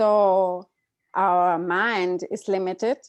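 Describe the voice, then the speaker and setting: A woman speaks with a German accent and fairly even intonation against a quiet background. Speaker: interpreter and co-host. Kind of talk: live interpreting. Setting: video call.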